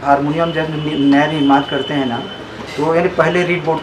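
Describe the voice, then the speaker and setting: Monotone, flat speech is heard with audible room echo and noticeable background noise. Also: man. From Chhattisgarh, India. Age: 70s. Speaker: harmonium and banjo maker. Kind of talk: interview. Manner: halting, many fillers.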